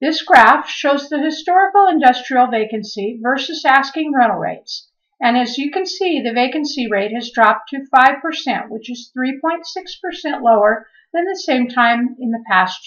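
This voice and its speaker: Over a quiet background, a woman speaks with a high pitch and lively intonation. Her pace is fairly slow. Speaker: real estate agent. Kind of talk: scripted narration. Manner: formal. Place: home room. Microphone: webcam.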